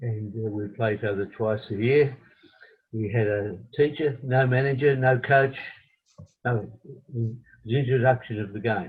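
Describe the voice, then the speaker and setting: This man has an Australian accent and a somewhat breathy voice, moving at a moderate pace with fairly even intonation and long, frequent pauses. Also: medium pitch for a man. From Australia, Melbourne. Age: 80s+. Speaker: retired footballer and coach. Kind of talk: interview. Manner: halting.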